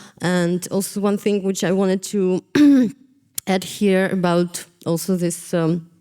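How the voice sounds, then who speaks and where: A woman speaks at a medium pitch in a dark, mellow tone. Her delivery is fairly slow, monotone and flat, with very even loudness. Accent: Ukrainian. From Eastern Ukraine. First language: Russian. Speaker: visual artist. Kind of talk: panel discussion. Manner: halting, hesitant.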